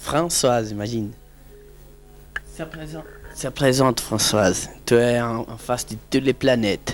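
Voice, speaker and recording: A man speaks at a fairly slow pace with long, frequent pauses and big swings in loudness. His pitch varies in an ordinary way, and music plays in the background. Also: medium pitch for a man. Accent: Brazilian. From Brazil, Fortaleza (Ceará). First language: Portuguese (speaking French). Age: 30s. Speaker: interviewee, family member. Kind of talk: casual home video interview. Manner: halting, hesitant.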